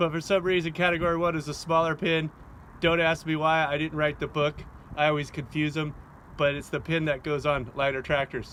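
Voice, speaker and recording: A man speaks loudly in a high pitch. His intonation stays monotone and flat. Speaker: hobby farmer demonstrating tool tips. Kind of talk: casual how-to tutorial. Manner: casual, rambling with fillers.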